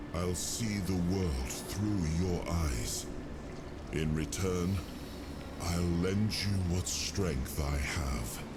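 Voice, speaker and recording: A man's put-on character voice, very deep and low, at a very slow pace, over loud background noise. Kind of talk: formal fantasy speech. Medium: virtual streamer. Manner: measured, regal.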